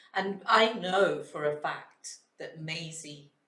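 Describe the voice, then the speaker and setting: A woman with a Scottish accent speaks in a bright, sharp tone. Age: 60s. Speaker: early years educator. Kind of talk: casual chat.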